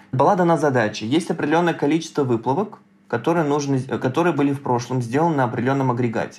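Very fast male speech, fairly high in pitch with ordinary pitch variation. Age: 30s. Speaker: data science student, hackathon participant. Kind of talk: casual interview chat.

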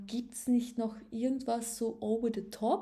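A woman speaks very slowly in a fairly high, somewhat breathy voice with a dark, mellow tone. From Upper Austria. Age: 20s. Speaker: podcaster. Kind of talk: casual monologue. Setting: home at a table. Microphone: laptop.

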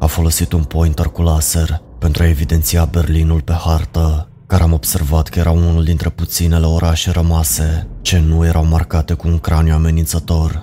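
This man has a very deep, low pitch and fairly even intonation, speaks with hardly any pauses, and is heard over noticeable background noise. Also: very even loudness. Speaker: horror story narrator. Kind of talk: ghost story telling, first-person scripted horror narration. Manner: slow, hushed and ominous, building dread with grave, deliberate pacing.

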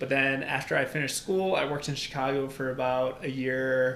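Speaking with an American accent, a man uses a medium pitch and fairly even intonation at a moderate pace. Noticeable background noise and audible room echo surround him. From Albania. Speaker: accounting consultant and CPA. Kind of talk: casual interview. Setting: in-person studio.

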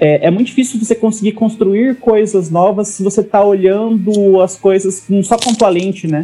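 Noticeable background noise sits behind a man whose high pitch and fairly even intonation carry along at a moderate pace with hardly any pauses. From Brazil, interior of Paraná. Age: 30s. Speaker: startup consultant. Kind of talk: interview.

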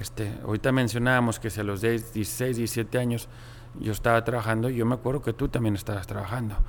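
Delivery comes fairly quickly. Intonation is flat and monotone throughout. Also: man, medium pitch for a man. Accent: Monterrey. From Mexico, Monterrey. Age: 40s. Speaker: business executive. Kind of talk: interview.

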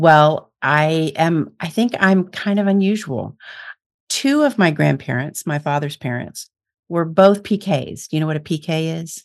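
With an American accent and an ordinary speaking voice, a woman talks at a fairly slow pace, her fairly low pitch carrying lively intonation. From US Midwest. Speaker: psychic medium and speaker. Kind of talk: casual interview.

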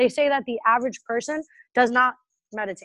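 A woman with an American accent talks at a very fast pace in a high voice. Her intonation is fairly even, and the background is quiet. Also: dry, close sound with no echo. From Massachusetts, near Boston. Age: 20s. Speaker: entrepreneur. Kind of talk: casual interview.

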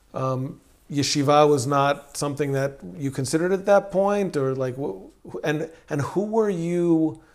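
Lively intonation and a moderate pace from a man with an unremarkable speaking voice. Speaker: podcast host. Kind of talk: interview conversation. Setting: in-person recording in Jerusalem.

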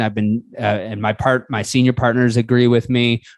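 Over a quiet background, a man with a medium pitch speaks at a moderate pace in a monotone, flat intonation. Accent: American. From Buffalo, New York, US. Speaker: podcast host. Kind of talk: interview.

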